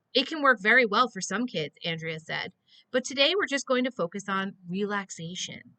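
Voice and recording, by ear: Natural-voiced reading aloud, lively in intonation, over quiet surroundings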